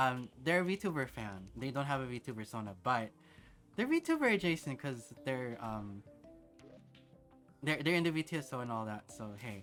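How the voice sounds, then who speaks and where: A soft-spoken man with a bright, sharp tone and lively intonation. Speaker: VTuber streamer. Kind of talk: casual gaming livestream chat. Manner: soft-spoken, quiet; hesitant, many fillers. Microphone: mic close, noise gate on, level low.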